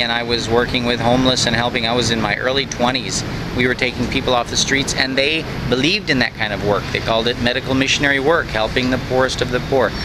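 Over noticeable background noise, a man speaks at a very fast pace in a dry sound with no echo. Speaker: vlogger caring for elderly friend. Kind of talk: casual talk to camera. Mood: earnest, reflective. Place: street. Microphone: phone near.

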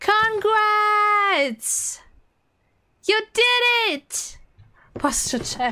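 A woman speaks very slowly in a raised, projected voice, extremely high-pitched with a bright, sharp tone. Her intonation is lively, broken by long, frequent pauses. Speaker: video game streamer. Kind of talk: live stream chat. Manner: animated; loud.

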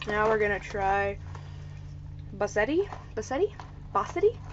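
A woman speaks with an American accent. Light background noise sits behind her. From United States. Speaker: vlogger. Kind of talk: casual vlog talk to camera. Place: home room. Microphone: webcam.

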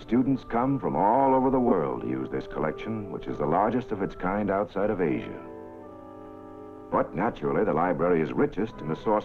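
With clear music in the background, a man speaks fairly quickly in a fairly low voice that swings very widely in pitch. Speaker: newsreel narrator. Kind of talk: documentary newsreel narration. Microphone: old recording.

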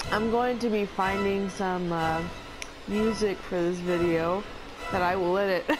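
Over background music, a woman speaks at a fairly slow pace in a medium pitch, her loudness very even and her intonation fairly even. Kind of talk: casual gaming commentary. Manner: loud hyena-like laughter.

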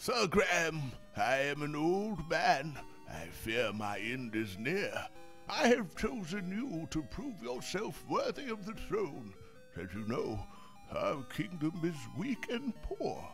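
Over clear background music, a man does a put-on character voice at a fairly high pitch and a fairly slow pace. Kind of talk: dramatic game cutscene reading. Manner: solemn, regal.

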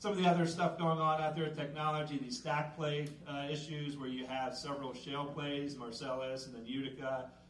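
A man speaks at a fairly high pitch with fairly even intonation and a moderate pace. Audible room echo and light background noise are present. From central Pennsylvania. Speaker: extension educator. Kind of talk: public presentation. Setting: room with live audience. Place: hall.

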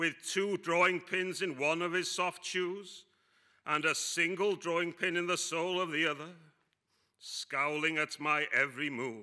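Against a quiet background, a man with a high, bright, sharp voice speaks at a fairly slow pace with fairly even intonation. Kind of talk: performance monologue reading. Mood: deadpan dark humour.

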